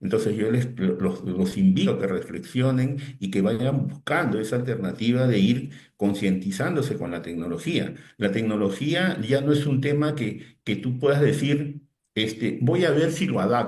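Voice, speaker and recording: Somewhat breathy, this man's voice carries an audible room echo. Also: medium pitch for a man, fairly slow pace. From Peru, Lima. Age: 60s. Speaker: digital teacher, technology consultant. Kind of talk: interview. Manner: hesitant repetitions.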